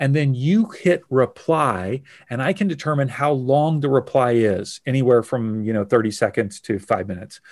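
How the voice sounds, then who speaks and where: A man with an unremarkable speaking voice talks at a medium pitch and a moderate pace with lively intonation and hardly any pauses. The recording is very clean with a silent background. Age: 40s. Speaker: business growth consultant. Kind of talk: interview conversation.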